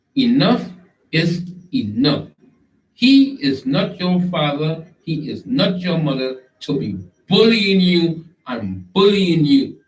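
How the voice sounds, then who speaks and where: A man's high voice in a Trinidadian accent, very slow, with very wide pitch swings. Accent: Trinidad and Tobago Creole English. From Tobago, Trinidad and Tobago. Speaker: online show host. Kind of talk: live stream monologue. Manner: animated.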